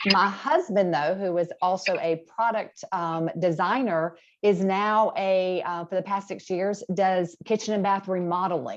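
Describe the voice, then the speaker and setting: A woman with an Alabama accent talks at a fairly slow pace with hardly any pauses. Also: medium pitch for a woman, fairly even intonation. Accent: Southern US (Alabama). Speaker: appliance industry presenter. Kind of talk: webinar presentation. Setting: video call. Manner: casual, conversational.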